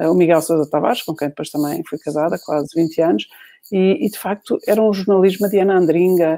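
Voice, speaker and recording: A dark, mellow voice moves at a fairly quick pace with ordinary pitch variation, recorded dry and close with no echo. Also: woman, fairly low pitch for a woman. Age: 50s. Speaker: journalist and author. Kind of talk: interview conversation. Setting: online live video chat.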